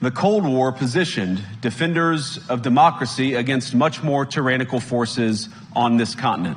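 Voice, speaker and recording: A man with a medium-pitched voice speaks at a moderate pace with lively intonation. Noticeable background noise runs behind him. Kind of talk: political speech to an audience.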